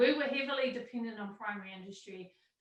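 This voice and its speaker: A woman with a New Zealand accent and lively intonation, fairly quick in pace, with audible room echo. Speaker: university entrepreneurship center director. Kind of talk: panel presentation. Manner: fast.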